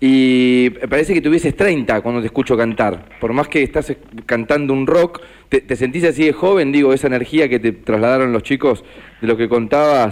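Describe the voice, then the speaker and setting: A man with a Rioplatense accent speaks at a moderate pace in a medium pitch, with ordinary pitch variation and very even loudness. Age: 60s. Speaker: radio co-host. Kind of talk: radio interview.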